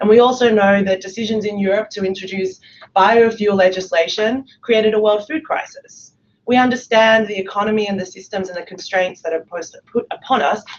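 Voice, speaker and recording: In an Australian accent, a woman talks at a fairly quick pace. Her pitch is medium, with ordinary variation. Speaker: presenter giving a talk on sustainability. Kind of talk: lecture, semi-formal.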